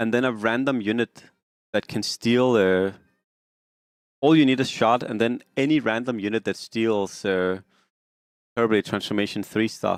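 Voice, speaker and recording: A medium-pitched man with a slight Danish accent speaks with fairly even intonation and long, frequent pauses, the recording very clean and silent, dry and close with no echo. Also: moderate pace. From Denmark. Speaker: game streamer. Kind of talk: casual live-stream commentary. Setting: live stream.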